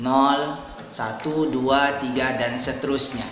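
A man speaks with audible room echo and clear music in the background. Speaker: teacher. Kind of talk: lesson to pupils.

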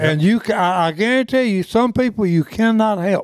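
A man's high-pitched voice with lively intonation at a moderate pace.

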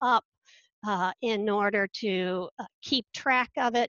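Recorded dry with no echo against a quiet background, a woman speaks at a very slow pace with ordinary pitch variation. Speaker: instructional technologist. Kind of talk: conference panel presentation. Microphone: webcam.

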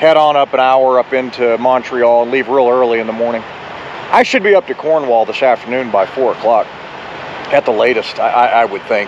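Against noticeable background noise, a man talks at a moderate pace with fairly even intonation, the sound dry with no echo. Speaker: truck driver vlogger. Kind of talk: casual vlog chat. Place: street. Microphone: phone near.

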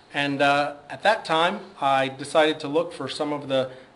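A man speaks at a fairly high pitch. There is audible echo from the room. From US East Coast. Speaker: government scientist and speaker. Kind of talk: career talk at a symposium. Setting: stage with audience. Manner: hesitant, many fillers.

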